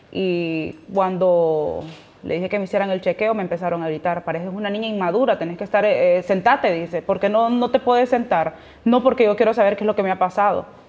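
At a fairly quick pace, a plain, everyday voice speaks with ordinary pitch variation. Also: woman, medium pitch for a woman. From Honduras. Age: 20s. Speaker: asylum seeker sharing her story. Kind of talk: testimony.

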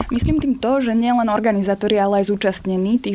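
Noticeable background noise surrounds a woman's voice. She speaks at a medium pitch with fairly even intonation. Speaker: protest organizer. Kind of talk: interview. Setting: studio.

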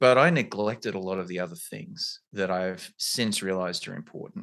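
A man with an Australian accent talks at a fairly quick pace. The background is quiet. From rural Australia. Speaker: career coach and pre-law platform founder. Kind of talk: interview conversation.

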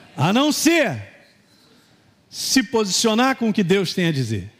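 A man talks at a fairly slow pace, his pitch swinging very widely. Noticeable background noise runs under his voice. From Minas Gerais, Brazil. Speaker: pastor. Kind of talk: sermon. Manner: animated.

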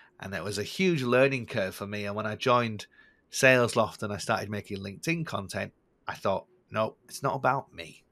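Speaking at a fairly quick pace with a northern English accent, a man with a fairly low pitch and a bright, sharp tone shows big swings in loudness on a very clean recording with a silent background. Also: ordinary pitch variation. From northern England. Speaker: sales content creator. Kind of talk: casual interview conversation.

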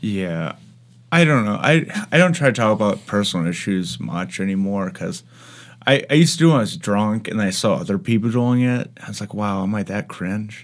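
A man with a fairly low pitch talks at a fairly quick pace with very wide pitch swings, on a very clean recording with a silent background. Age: 20s. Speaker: podcast host and comedian. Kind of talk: casual chat. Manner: hesitant, many fillers.

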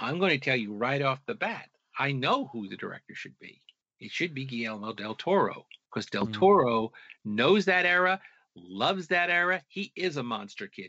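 Speaking at a moderate pace with an American accent, a man with a fairly high-pitched voice makes very wide pitch swings. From US Northeast, Long Island, New York. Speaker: author and researcher. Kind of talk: interview.

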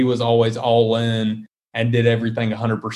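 A man's medium-pitched voice in a Southern US accent, at a fairly quick pace. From US South, South Carolina. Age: 20s. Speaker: wealth management business owner. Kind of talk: interview.

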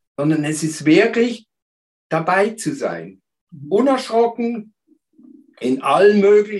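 With long, frequent pauses, a man speaks very slowly at a high pitch, his intonation lively. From Switzerland, Basel. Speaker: therapist. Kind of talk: interview.

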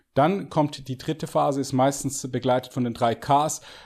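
This man's pitch sits fairly high and varies in an ordinary way. He keeps a moderate pace. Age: 40s. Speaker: fitness coach and bodybuilder. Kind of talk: podcast interview. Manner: halting, many fillers and repetitions.

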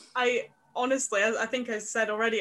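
This woman has a Scottish accent, a fairly high pitch, fairly even intonation and a fairly quick pace. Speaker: podcast host. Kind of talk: interview.

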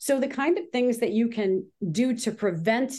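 Over a quiet background, a woman with an unremarkable speaking voice talks at a fairly slow pace with lively intonation. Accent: Canadian. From Ontario, Canada (Grimsby). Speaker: business consultant. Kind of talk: casual interview. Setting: call.

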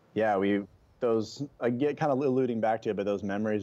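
In a West Coast American accent, a man talks at a very fast pace with ordinary pitch variation. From Oregon, US Pacific Northwest. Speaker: cliff diver and adventure athlete. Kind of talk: casual interview chat.

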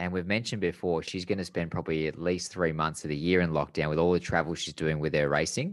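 Spoken in an Australian accent at a very fast pace with hardly any pauses, the voice keeps a fairly even intonation against a quiet background. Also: man, very deep, low pitch for a man. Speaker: podcast co-host and former racing driver. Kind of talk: casual chat.

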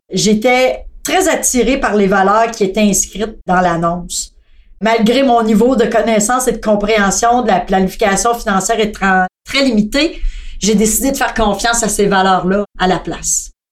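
Fairly high in pitch, a woman speaks in an ordinary speaking voice with ordinary pitch variation. Her loudness stays very even at a moderate pace. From Quebec, Thetford Mines. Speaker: customer service staff. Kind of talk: casual chat.

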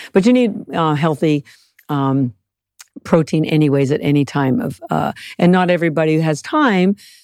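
In an unremarkable speaking voice, a woman talks at a moderate pace with a fairly low pitch and ordinary pitch variation, the sound dry and close with no echo. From Canada. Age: 60s. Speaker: algae nutrition expert and company founder. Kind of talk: casual interview chat.

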